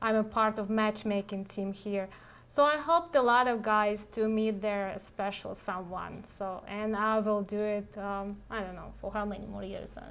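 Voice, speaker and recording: With a Russian accent, a woman speaks at a medium pitch and moderate pace, her intonation fairly even while her loudness swings widely. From Russia, Saint Petersburg. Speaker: matchmaker. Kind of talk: live web cast Q&A chat. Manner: halting, many fillers.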